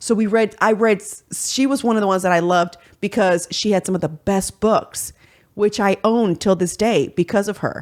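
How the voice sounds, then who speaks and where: A woman's animated, medium-pitched voice at a moderate pace with ordinary pitch variation, on a very clean recording with a silent background. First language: Spanish. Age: 40s. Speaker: podcast host. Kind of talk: casual chat.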